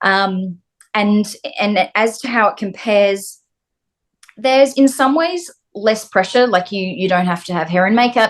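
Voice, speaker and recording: A woman speaks with an Australian accent at a moderate pace. Her pitch varies in an ordinary way. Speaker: actress. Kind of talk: interview.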